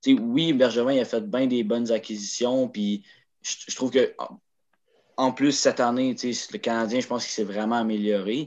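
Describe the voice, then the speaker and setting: A man with a normal speaking voice and medium pitch talks at a moderate pace with fairly even intonation over a quiet background. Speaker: hockey podcast co-host. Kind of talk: casual chat.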